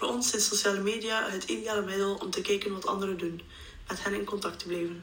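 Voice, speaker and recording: Amid noticeable background noise and audible room echo, a woman talks at a fairly quick pace and medium pitch in a monotone, flat intonation. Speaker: psychology student. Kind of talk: scripted narration.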